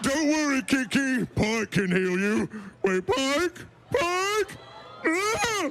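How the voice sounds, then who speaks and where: Over clear background noise, a man in a put-on character voice speaks very slowly at an extremely high pitch with very wide pitch swings. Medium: stage play. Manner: slow, blunt, simple wording.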